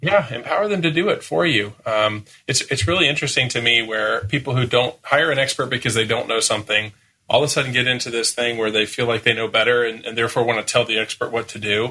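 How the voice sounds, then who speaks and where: Talking at a very fast pace, a man with a medium pitch and a bright, sharp tone uses ordinary pitch variation. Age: 40s. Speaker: marketing agency founder. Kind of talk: podcast interview. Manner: youthful-sounding.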